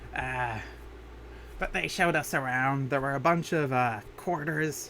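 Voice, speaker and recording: A put-on character voice from a man, moderately paced, over clear background noise. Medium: solo performance. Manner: rambling, hesitant, chatty.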